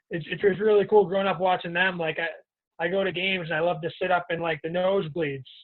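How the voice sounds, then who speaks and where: Speaking fairly quickly with hardly any pauses, a high-pitched man with a strong Boston accent keeps a flat, monotone intonation. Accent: Boston accent, heavy. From Boston, Massachusetts. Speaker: professional hockey player. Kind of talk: podcast interview.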